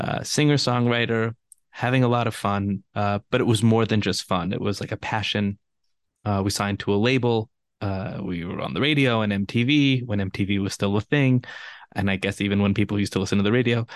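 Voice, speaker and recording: Speaking at a fairly quick pace with a Californian accent, a man with a fairly low pitch keeps his intonation fairly even, the sound dry and close with no echo against a quiet background. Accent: Californian American English. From Los Angeles. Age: 30s. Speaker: spiritual teacher and author. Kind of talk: interview conversation.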